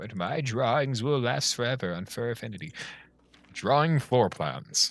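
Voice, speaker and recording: Vocal fry runs through a man's speech. He moves at a moderate pace with lively intonation. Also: medium pitch for a man. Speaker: video game streamer. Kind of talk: live gameplay stream. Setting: live stream. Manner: animated; stumbles on words at times.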